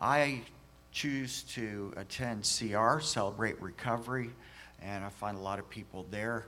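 A man speaks in an American accent at a fairly slow pace. His medium-pitched voice has a bright, sharp tone and ordinary pitch variation. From US. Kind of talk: testimony.

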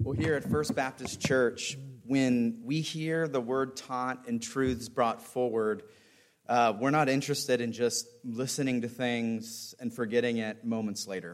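A man talks at a fairly slow pace. He has an ordinary speaking voice. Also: medium pitch for a man. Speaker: church pastor or host introducing speaker. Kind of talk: church introduction and announcements. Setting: church.

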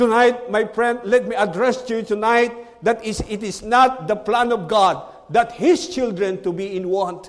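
A man speaks with a Filipino accent at a high pitch with ordinary pitch variation. His moderate pace comes through noticeable background noise. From Philippines. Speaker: missionary preacher. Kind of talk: sermon. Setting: church. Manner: halting, uses fillers.

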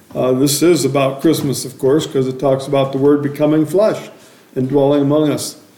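A man talks at a moderate speed while noticeable background noise carries through. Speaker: preacher. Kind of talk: sermon. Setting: church. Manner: loud.

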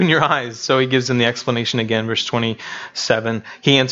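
The delivery is an unforced reading voice. Nothing else stands out.

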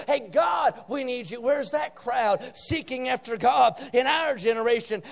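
A man's voice sits at an extremely high pitch, with an animated tone, ordinary pitch variation and a moderate pace. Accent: American. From West Virginia, rural Appalachia. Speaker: visiting preacher. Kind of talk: revival sermon, fiery evangelical preaching on the nation's moral decline. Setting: church meeting with live congregation. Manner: emphatic, punchy call-and-response with repeated 'say amen' prompts; animated, rising intensity with folksy asides and jabs.

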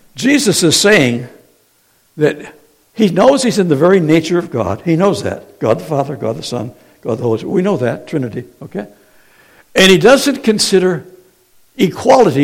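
Pitched high for a man, his animated voice moves at a moderate pace through very wide pitch swings. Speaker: preacher. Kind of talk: sermon. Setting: church. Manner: animated, call-and-response; teacherly, Q&A style.

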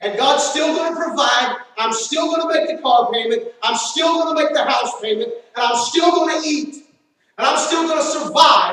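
With an American accent and audible room echo, a man speaks at an extremely high pitch, using lively intonation at a moderate pace. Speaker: preacher. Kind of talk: sermon. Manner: animated.

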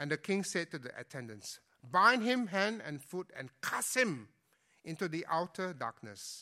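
A man projects a raised, high-pitched voice with a bright, sharp tone and very wide pitch swings. The recording is very clean, with a silent background. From Singapore (born in Indonesia, moved at six). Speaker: pastor. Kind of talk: sermon. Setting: church. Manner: halting.

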